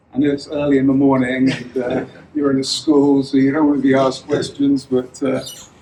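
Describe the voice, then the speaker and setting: Against noticeable background noise, a man with an English accent talks at a moderate pace in a fairly high pitch. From England. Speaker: tech futurist and author. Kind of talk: talk to a live audience. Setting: room with audience in a school.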